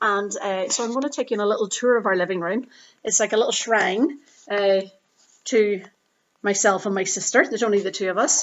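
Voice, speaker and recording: At a fairly quick pace but with long, frequent pauses, a woman speaks at a medium pitch. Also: ordinary pitch variation. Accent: Irish. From Northern Ireland. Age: 30s. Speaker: yoga and Pilates teacher vlogging. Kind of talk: unscripted vlog monologue. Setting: parents' living room at home. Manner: hesitant, many fillers.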